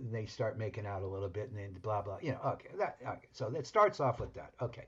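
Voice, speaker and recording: Speaking very fast, a man keeps a medium pitch with ordinary pitch variation. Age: 70s. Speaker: podcast co-host. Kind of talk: casual chat. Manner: halting.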